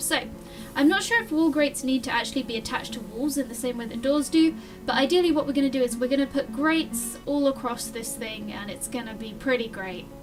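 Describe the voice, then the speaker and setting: Music plays in the background. The speaker talks at a fairly quick pace with ordinary pitch variation. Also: woman. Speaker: gaming video host. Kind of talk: casual gameplay commentary. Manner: occasional stutter.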